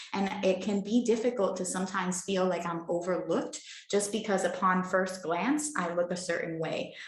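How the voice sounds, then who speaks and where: A woman speaks at a medium pitch. Audible room echo and noticeable background noise fill the recording. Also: ordinary pitch variation, moderate pace. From mainland US, born in Puerto Rico. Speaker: travel blogger and author. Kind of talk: interview conversation.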